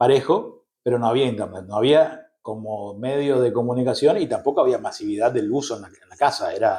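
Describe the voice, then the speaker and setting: A man with a dark, mellow tone talks at a fairly quick pace with hardly any pauses and big swings in loudness. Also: medium pitch for a man, ordinary pitch variation. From Argentina, Misiones (Posadas and Andresito). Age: 40s. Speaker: journalist. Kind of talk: interview conversation. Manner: hesitant, frequent fillers.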